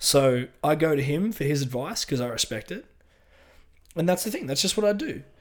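A fairly high-pitched man with an Australian accent on a very clean recording with a silent background. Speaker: podcast co-host, bodybuilder. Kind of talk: casual chat.

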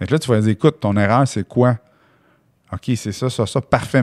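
The speech comes at a fairly quick pace with ordinary pitch variation, in a Quebec accent. The sound is dry and close, with no echo. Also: man. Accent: Québécois French. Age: 40s. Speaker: real estate investor and entrepreneur. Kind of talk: podcast interview. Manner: casual, animated.

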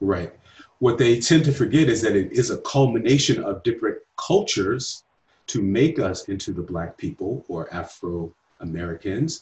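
At medium pitch, a somewhat breathy man speaks at a moderate pace. His pitch swings very wide. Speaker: podcast host. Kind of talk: scripted intro then casual interview.

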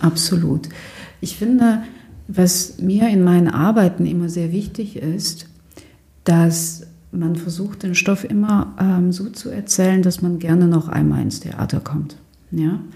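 A woman with a fairly low pitch talks at a very slow pace, somewhat breathy, her intonation fairly even. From Germany. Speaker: theatre director. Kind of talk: interview. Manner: halting, many fillers.

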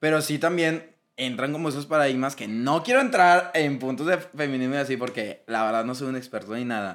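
A man's fairly high voice in a strong Monterrey accent, animated in tone, at a fairly quick pace with hardly any pauses and ordinary pitch variation, on a very clean recording with a silent background. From Monterrey, Mexico. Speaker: podcast co-host. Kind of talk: casual chat.

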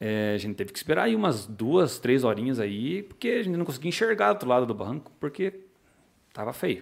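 A man's voice at a fairly quick pace, with very wide pitch swings. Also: medium pitch for a man. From Paraná, Brazil (Pinhão). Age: 30s. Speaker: sport fisherman and fishing guide. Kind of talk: podcast interview. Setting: studio.

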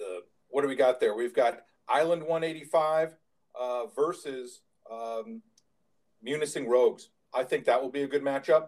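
Speaking at a fairly slow pace, a man with an American accent has a fairly high pitch. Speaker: podcast co-host. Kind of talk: casual podcast chat.

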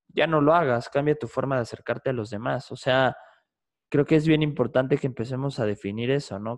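Speaking at a moderate pace, a man has an unremarkable speaking voice with ordinary pitch variation. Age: 20s. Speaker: psychologist and podcaster. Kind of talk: casual interview.

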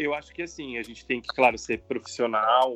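A man with a plain, everyday voice speaks at a medium pitch with ordinary pitch variation, in a dry, close sound with no echo over a quiet background. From São Paulo state, Brazil (São José do Rio Preto). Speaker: TV journalist and university professor. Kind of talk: interview.

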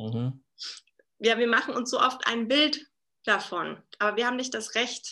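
A woman's fairly slow pace, broken by long, frequent pauses. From Berlin, Germany. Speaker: leadership coach and keynote speaker. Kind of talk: casual interview. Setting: video call.

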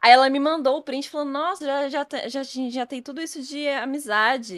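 At a moderate pace, the speech is captured in a very clean recording with a silent background. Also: woman. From Brazil, Federal District surroundings. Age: 20s. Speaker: esports presenter and influencer. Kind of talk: casual chat. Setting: live-streamed podcast studio.

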